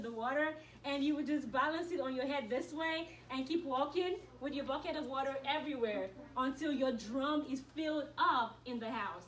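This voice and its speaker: A woman speaks at a moderate pace in a high voice with ordinary pitch variation, and the room echo is audible. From Nigeria. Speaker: college student speaker. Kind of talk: school assembly talk. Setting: school assembly with audience.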